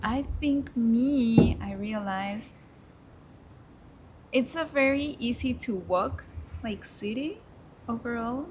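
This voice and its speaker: A woman with a Spanish accent speaks at a very slow pace, with long, frequent pauses. Her fairly high voice has ordinary pitch variation and big swings in loudness. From Mexico. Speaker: intern. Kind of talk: casual chat.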